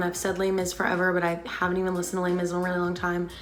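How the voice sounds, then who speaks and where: Music runs behind a woman as she talks. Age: 20s. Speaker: theatre actor. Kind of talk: casual Q&A talk to camera.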